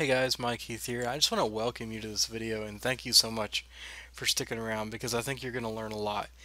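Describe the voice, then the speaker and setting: A quiet, very fast delivery with a bright, sharp tone and monotone, flat intonation. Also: man. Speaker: online marketing coach. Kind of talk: webinar tutorial. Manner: quiet, low-spoken; casual, conversational.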